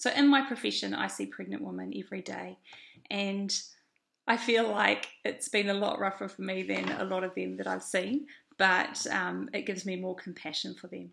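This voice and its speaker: A woman with a New Zealand accent speaks at a moderate pace, her loudness swinging widely. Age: 30s. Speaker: vlogger. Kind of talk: video diary. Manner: hesitant, many fillers.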